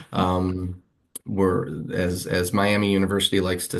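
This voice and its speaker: Here is a man with a very deep, low pitch. He speaks with an American accent and fairly even intonation. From Western New York (Buffalo area). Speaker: English professor. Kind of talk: interview. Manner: halting, many fillers.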